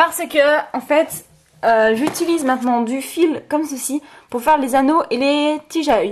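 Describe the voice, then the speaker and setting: A woman's voice with ordinary pitch variation. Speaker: craft YouTuber. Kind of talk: show-and-tell tutorial. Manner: fast; hesitant, many fillers.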